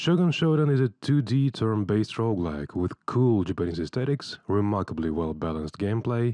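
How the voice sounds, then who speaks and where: The speaker has a non-native accent and talks at a moderate pace with very wide pitch swings. The recording has a dry, close sound with no echo. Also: man. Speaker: video creator, interviewer. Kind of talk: scripted narration intro.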